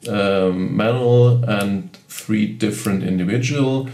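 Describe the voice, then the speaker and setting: A man with a German accent at a very slow pace, medium pitch and ordinary pitch variation, amid noticeable background noise and audible room echo. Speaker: camera reviewer. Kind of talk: tutorial. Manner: halting.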